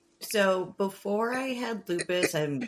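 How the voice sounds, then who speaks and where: A woman is speaking. She has a Midwestern accent. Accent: Midwest. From US Midwest, Minnesota. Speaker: podcast co-host, former journalist. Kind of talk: casual interview chat.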